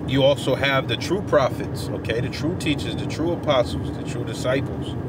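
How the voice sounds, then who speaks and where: A man talks at a moderate pace over noticeable background noise. The sound is dry, with no echo. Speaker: religious teacher. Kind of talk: informal sermon. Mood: earnest, relaxed. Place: car. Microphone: phone near.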